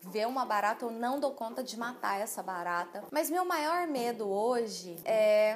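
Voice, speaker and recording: Over light background noise, a woman speaks at a fairly slow pace. Her pitch is fairly high and her intonation lively. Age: 20s. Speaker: lifestyle youtuber. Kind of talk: casual vlog. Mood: warm, cheerful.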